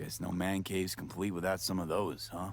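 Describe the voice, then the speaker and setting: In a put-on character voice, a man speaks in a calm tone at a fairly quick pace, raspy and very deep in pitch, with clear background noise. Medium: video game. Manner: calm, curious.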